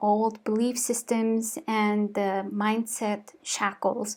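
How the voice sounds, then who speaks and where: A woman with a Mongolian accent and a fairly high pitch, at a very slow pace, on a very clean recording with a silent background. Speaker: lifestyle vlogger. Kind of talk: vlog monologue. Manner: halting.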